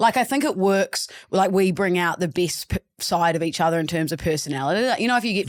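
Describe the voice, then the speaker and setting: Speaking very fast with hardly any pauses, a woman uses lively intonation at a medium pitch in a New Zealand accent. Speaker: podcast host. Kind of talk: casual, conversational.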